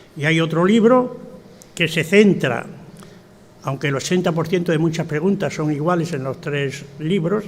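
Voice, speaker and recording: A man's high-pitched voice at a fairly slow pace amid noticeable background noise. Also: ordinary pitch variation. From Spain, Extremadura (Tornavacas, Cáceres). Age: 80s+. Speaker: retired professor and author. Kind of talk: speech at a book presentation. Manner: halting, with many fillers.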